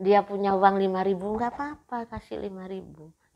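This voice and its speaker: A woman talks at a moderate pace, the background quiet. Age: 70s. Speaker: business owner. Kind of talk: interview testimony.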